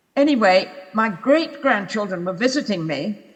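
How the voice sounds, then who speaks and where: A woman with a British accent speaks with lively intonation. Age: 90s. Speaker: polar explorer. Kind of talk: public talk with audience Q&A.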